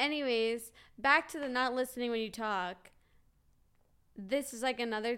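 Moderate pace and fairly even intonation. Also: woman. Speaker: podcast co-host. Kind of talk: casual chat.

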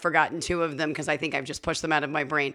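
A woman speaks loudly in an animated tone, her voice bright and sharp, on a very clean recording with a silent background. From Las Vegas, Nevada. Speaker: bartender. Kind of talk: casual chat.

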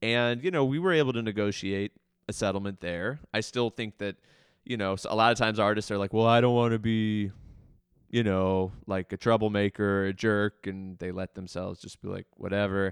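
Against a quiet background with a dry, close sound and no echo, a man with an American accent uses a normal speaking voice at a fairly low pitch, a moderate pace and fairly even intonation. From Baltimore County, Maryland. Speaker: arts nonprofit director and musician. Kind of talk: interview conversation.

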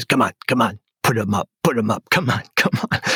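A man puts on a raspy character voice at a medium pitch. His loudness stays very even at a moderate pace, in a dry, close sound with no echo. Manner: tough, taunting, challenging.

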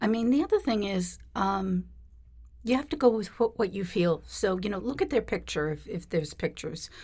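In an American accent, the speaker talks at a moderate pace with lively intonation and vocal fry. The tone is dark and mellow, and the recording is very clean with a silent background. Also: woman, medium pitch for a woman. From US Northeast, Boston. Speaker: psychic. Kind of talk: interview. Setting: studio.

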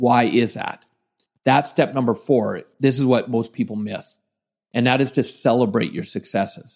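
A man with a Canadian accent speaks at a moderate pace and medium pitch with ordinary pitch variation, in an ordinary speaking voice. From western Canada (British Columbia). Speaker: motivational speaker and trainer. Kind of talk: interview.

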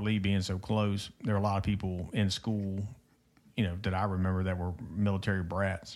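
A man with a plain, everyday voice, fairly low in pitch, speaks at a fairly quick pace. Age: 50s. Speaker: podcast host. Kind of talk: casual interview. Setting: studio.

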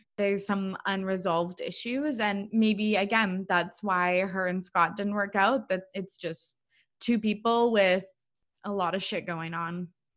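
The recording is very clean, with a silent background. An unremarkable speaking voice goes at a fairly slow pace, its intonation fairly even. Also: woman, medium pitch for a woman. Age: 20s. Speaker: podcast host. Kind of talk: casual chat.

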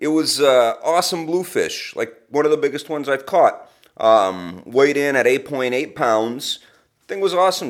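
A man speaks at a moderate pace in a fairly high pitch with ordinary pitch variation. He has an ordinary speaking voice. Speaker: cooking correspondent. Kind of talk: recorded segment, casual.

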